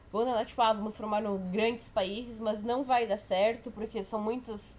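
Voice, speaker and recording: This woman's voice sits fairly high and moves at a moderate pace. Her intonation is flat and monotone. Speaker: history tutor. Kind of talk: informal exam review lecture. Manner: casual, halting with self-corrections.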